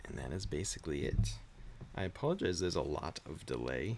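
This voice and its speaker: A man talks in a calm tone with vocal fry. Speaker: streamer. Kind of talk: casual chat. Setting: live stream at home. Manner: quiet.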